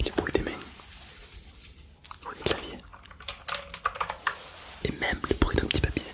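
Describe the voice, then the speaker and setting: A man whispering amid noticeable background noise. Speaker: ASMR hypnosis guide. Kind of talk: hypnosis relaxation guidance.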